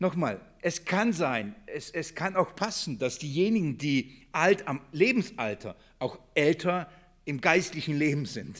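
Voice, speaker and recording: The voice has vocal fry and very wide pitch swings. It moves at a very slow pace. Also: man, fairly high pitch for a man. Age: 40s. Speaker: church elder and preacher. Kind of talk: bible study sermon. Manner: halting, many fillers and repetitions; earnest.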